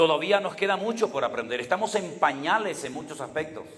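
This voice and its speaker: This man's voice carries audible room echo. His pitch varies in an ordinary way. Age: 60s. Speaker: pastor. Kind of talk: sermon.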